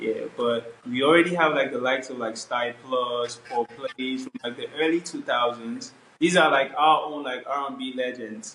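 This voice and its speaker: At a moderate pace and with hardly any pauses, a man with a Nigerian accent speaks in a medium pitch and fairly even intonation over noticeable background noise. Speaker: R&B and Afrobeats singer. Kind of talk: interview. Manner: casual, filler-heavy.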